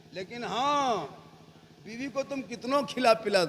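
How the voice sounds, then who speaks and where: A man speaks over noticeable background noise. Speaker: Islamic preacher. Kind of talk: humorous religious sermon at a night gathering.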